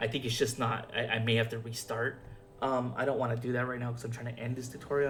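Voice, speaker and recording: Over music in the background, a man speaks at medium pitch and a fairly quick pace. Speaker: video game modding tutor. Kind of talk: tutorial. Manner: fast; hesitant, filler-heavy.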